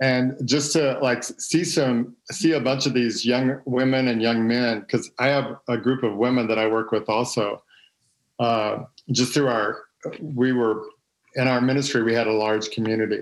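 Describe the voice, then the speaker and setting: Speaking in an American accent with an unremarkable speaking voice, a man keeps a moderate pace, medium pitch, fairly even intonation and very even loudness. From Texas. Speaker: former pastor's son in church ministry. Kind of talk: casual chat.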